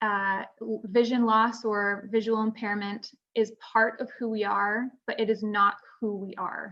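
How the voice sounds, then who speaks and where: A woman with a Canadian accent speaks in a fairly high pitch at a fairly slow pace, her intonation monotone and flat. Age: 30s. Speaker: retinoblastoma survivor, panel speaker. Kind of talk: conference panel talk. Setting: virtual conference video call.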